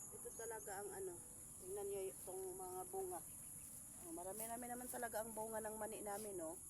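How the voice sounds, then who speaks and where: The speaker has a Visayan accent and moves at a fairly quick pace. Noticeable background noise runs underneath. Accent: Visayan accent in Tagalog. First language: Cebuano (Bisaya) (speaking Tagalog). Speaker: farming vlogger. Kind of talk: casual vlog narration.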